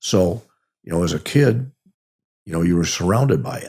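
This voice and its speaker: A man's very deep, low voice with a dark, mellow tone and a Chicago accent. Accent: Chicago-area American. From US Midwest, Oak Park near Chicago, Illinois. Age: 80s+. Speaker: army veteran. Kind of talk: interview, life story. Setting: podcast interview. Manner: halting, frequent repetitions.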